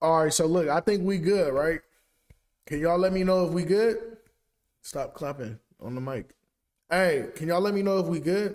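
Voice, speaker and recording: A man speaks loudly at a high pitch. His pitch varies in an ordinary way. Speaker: sports podcast host. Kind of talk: casual chat. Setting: live stream.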